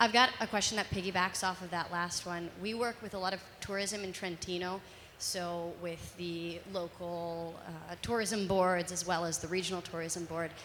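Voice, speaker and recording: With an American accent, a woman with an unremarkable speaking voice talks at a fairly low pitch and a moderate pace, keeping fairly even intonation. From United States. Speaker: marketing agency worker, audience member. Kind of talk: audience question.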